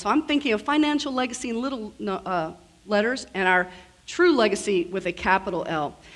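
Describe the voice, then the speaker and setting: A woman with an American accent and a fairly high pitch speaks at a fairly quick pace, her pitch swinging very widely. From US South. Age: 50s. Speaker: estate planning lawyer, keynote speaker. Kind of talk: keynote speech. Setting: conference stage with audience. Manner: fast.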